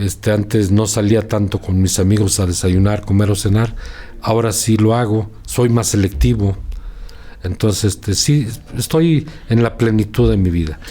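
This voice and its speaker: This somewhat breathy voice has a dark, mellow tone, very even loudness, ordinary pitch variation and a moderate pace. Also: man, fairly low pitch for a man. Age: 60s. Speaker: journalist. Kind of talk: interview.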